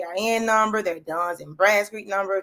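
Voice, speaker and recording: A woman talks with a Louisiana accent. Her pace is fairly quick and her pitch medium. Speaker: faith-based business and life coach. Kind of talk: livestream chat. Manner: fast; animated.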